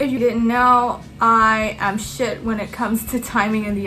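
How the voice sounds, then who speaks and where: A woman with a non-native accent speaks fairly slowly at a medium pitch, her intonation fairly even. Audible room echo and noticeable background noise are present. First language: not English. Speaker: student YouTuber. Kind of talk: tutorial. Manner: casual, filler-heavy.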